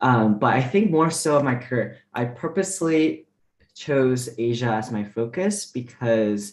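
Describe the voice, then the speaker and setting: A man's medium-pitched voice with a Mandarin accent, lively intonation and a fairly slow pace. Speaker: diplomat. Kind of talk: panel discussion.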